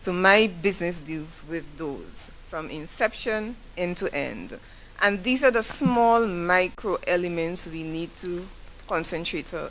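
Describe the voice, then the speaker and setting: With audible room echo, a woman with a Saint Lucian accent speaks at a fairly low pitch with ordinary pitch variation and big swings in loudness. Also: fairly slow pace. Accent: Saint Lucian accent, AI fails to recognize it. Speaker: business owner, audience member at forum. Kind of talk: audience question at public forum. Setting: forum hall with audience. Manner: halting, self-correcting.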